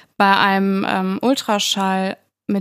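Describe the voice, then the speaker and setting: Here a woman speaks at a medium pitch, and the sound is dry and close with no echo. The recording is very clean, with a silent background. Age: 20s. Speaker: podcast co-host, bereaved mother. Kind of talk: casual chat.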